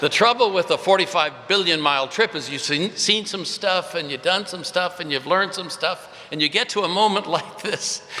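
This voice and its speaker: A high-pitched man with an American accent at a moderate pace, with ordinary pitch variation amid noticeable background noise. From India and California. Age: 70s. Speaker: pastor. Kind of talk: commencement speech. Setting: stage with audience. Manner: casual, humorous.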